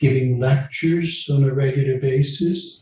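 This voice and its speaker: With a Dutch accent, a man talks at a medium pitch amid audible room echo. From Netherlands, moved to Canada at 12. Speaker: retired law professor and legal counsel. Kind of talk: interview. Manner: halting, many repetitions and fillers.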